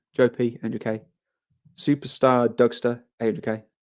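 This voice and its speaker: A man's medium-pitched voice in a London accent, with monotone, flat intonation. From England, London (Harrow). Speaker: livestreamer. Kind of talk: casual live stream chat.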